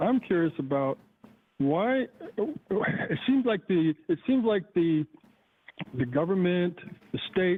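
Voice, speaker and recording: Very slow speech with long, frequent pauses and music in the background. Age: 60s. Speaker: caller, retired IT technician and veteran. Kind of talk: phone-in call. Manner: halting.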